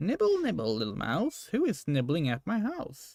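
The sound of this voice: In a put-on character voice, a man sounds squeaky and high. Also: moderate pace.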